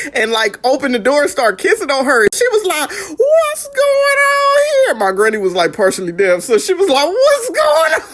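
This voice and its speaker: Loud and full of very wide pitch swings, a woman's voice comes through over noticeable background noise. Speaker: vlogger remembering late grandparents. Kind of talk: casual storytelling vlog. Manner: animated.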